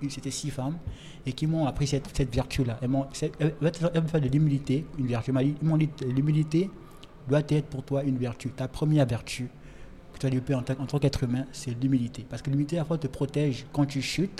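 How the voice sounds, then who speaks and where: A man speaks at a fairly quick pace in a fairly high pitch with fairly even intonation. His tone is dark, mellow and somewhat breathy. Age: young. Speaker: writer. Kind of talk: casual chat. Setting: restaurant.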